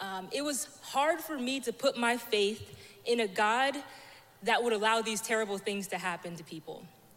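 At a moderate pace, a woman with a normal speaking voice talks at a fairly high pitch with lively intonation and big swings in loudness. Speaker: church member sharing testimony. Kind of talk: testimony.

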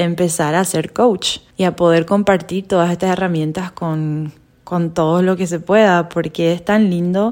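In an ordinary speaking voice, a woman of medium pitch talks at a fairly slow pace on a very clean recording with a silent background. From Paraguay. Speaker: podcast co-host, health coach. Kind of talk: casual chat.

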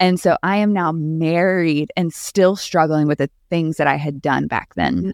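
At a fairly slow pace with hardly any pauses, a woman with a fairly low pitch speaks in a normal speaking voice with fairly even intonation. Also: dry, close sound with no echo. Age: 30s. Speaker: YouTube personality. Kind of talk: casual chat.

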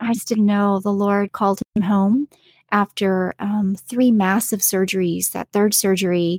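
On a very clean recording with a silent background and a dry, close sound with no echo, a woman speaks somewhat breathily at medium pitch, with fairly even intonation and a fairly slow pace. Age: 40s. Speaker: podcast host, homemaker and homeschooling mother. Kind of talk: solo podcast monologue. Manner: conversational with frequent filler words.

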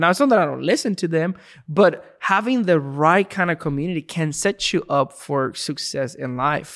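This man has a fairly high voice and speaks with a Spanish accent. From Puerto Rico. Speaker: student ministry pastor. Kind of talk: casual chat.

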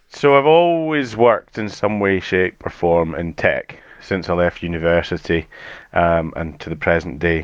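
With a slight Edinburgh accent, a man speaks at a fairly slow pace in a very deep, low pitch with ordinary pitch variation. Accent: mild Edinburgh Scottish. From Scotland, Edinburgh. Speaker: tool hire company manager. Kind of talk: podcast interview. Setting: studio.

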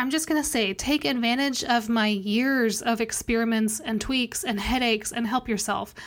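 In a normal speaking voice, a woman talks at a moderate pace with a fairly high pitch, ordinary pitch variation and very even loudness. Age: 30s. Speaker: podcast host and web developer. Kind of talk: casual solo podcast talk.

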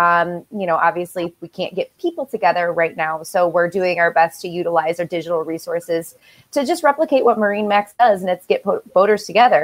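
This is a normal speaking voice. The woman talks at a moderate pace and medium pitch. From Michigan. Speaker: company podcast host. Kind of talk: casual video interview.

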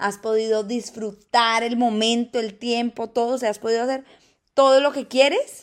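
An animated woman with a fairly high voice and ordinary pitch variation, moderate pace, very clean recording and silent background. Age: 20s. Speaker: podcast host. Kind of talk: motivational monologue.

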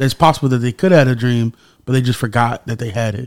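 The recording of a man's speech has a dry, close sound with no echo. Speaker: podcast host. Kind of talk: casual interview.

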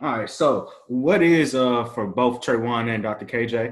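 A man's unremarkable speaking voice at a medium pitch, with ordinary pitch variation and a fairly slow pace. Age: 30s. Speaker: podcast host. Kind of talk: podcast interview.

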